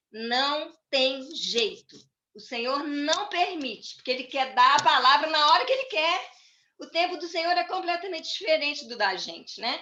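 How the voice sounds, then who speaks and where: In a raised, projected voice, a woman speaks high and lively, with big swings in loudness and audible room echo. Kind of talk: church talk. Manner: slow.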